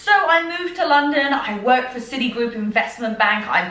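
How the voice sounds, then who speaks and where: A woman with a British accent speaks in an animated tone at a high pitch. Noticeable background noise and audible room echo surround her. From southern England. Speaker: fitness and personal development podcaster. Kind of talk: personal storytelling podcast.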